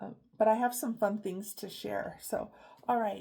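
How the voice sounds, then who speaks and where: Her voice is somewhat breathy, with a dark, mellow tone and ordinary pitch variation. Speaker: craft vlogger. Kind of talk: casual chat. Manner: hesitant, many fillers.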